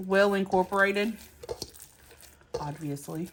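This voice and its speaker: Over noticeable background noise, a woman with a Southern US accent talks at a moderate pace and medium pitch with ordinary pitch variation. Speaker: home cooking vlogger. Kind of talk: cooking tutorial. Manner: casual, chatty.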